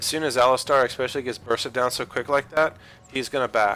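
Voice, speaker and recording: A man races at a very fast pace, his fairly high pitch held in fairly even intonation. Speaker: gaming video commentator. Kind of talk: gameplay commentary tutorial. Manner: casual, filler-heavy.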